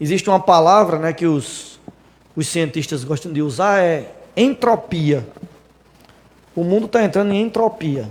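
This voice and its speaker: Pausing long and often, a man talks at a fairly slow pace with a high pitch and lively intonation. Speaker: preacher. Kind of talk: sermon. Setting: church.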